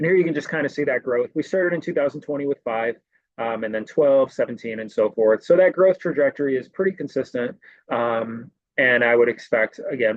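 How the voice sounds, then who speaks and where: A man with a fairly high voice speaks very fast with lively intonation. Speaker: program director. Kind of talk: webinar presentation.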